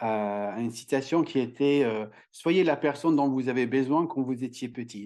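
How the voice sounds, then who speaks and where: A man's dark, mellow tone at medium pitch, fairly slow pace, quiet background. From Ireland. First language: English (speaking French). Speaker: communication trainer and author. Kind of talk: podcast interview. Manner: halting, many hesitations.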